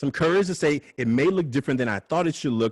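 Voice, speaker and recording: Someone with an American accent speaks with lively intonation. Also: man. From Oakland, California. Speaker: nonprofit founder and former teacher. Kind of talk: interview in a video call. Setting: video call. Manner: loud; direct.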